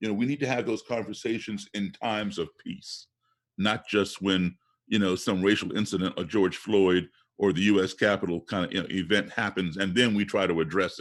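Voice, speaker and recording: Speaking in a normal speaking voice with an American accent, a man keeps a fairly low pitch and fairly even intonation at a fairly quick pace. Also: very clean recording, silent background. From US, Chicago-born. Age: 60s. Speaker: race relations activist and blues musician. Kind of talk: podcast interview.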